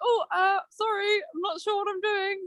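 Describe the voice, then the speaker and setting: In a put-on character voice, a woman speaks at an extremely high pitch and a moderate pace. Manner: nervous, hesitant.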